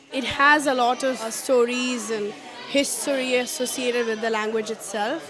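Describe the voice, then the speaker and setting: A woman with a Keralan accent speaks at a high pitch with fairly even intonation, with audible room echo and crowd noise in the background. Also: moderate pace. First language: Malayalam. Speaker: parent at a workshop. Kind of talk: interview.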